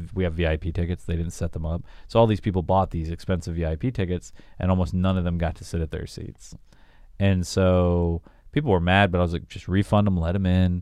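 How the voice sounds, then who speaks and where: Against a quiet background, a man with a very deep, low pitch and dark, mellow tone speaks at a very fast pace with fairly even intonation. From US South, Augusta, Georgia. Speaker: stand-up comedian. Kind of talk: casual chat.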